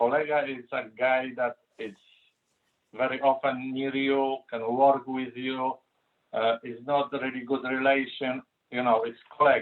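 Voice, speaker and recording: A man speaks fairly slowly in a flat monotone. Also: medium pitch for a man. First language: Polish. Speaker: interview guest. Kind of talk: casual chat. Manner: halting.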